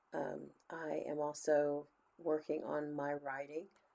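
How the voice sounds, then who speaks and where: In a Texan accent, a woman speaks with a very deep, low pitch and a dark, mellow tone. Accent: Texan US Southern. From Texas. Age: 60s. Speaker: book reviewer and teacher. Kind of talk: channel intro vlog. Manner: casual, with frequent fillers.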